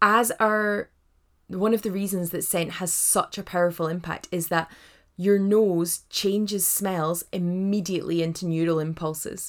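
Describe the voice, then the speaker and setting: A woman at a medium pitch, speaking at a fairly slow pace with fairly even intonation, on a very clean recording with a silent background. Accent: Scottish. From Scotland, Edinburgh. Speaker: doula and hypnobirthing teacher. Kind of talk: podcast monologue, informal tutorial. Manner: warm, chatty.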